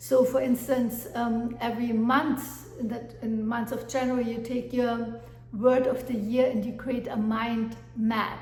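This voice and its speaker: A woman's fairly high voice with a German accent, monotone and flat, at a fairly slow pace, with audible room echo and noticeable background noise. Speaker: life coach. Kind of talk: motivational talk. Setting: at home with dog. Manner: hesitant with fillers.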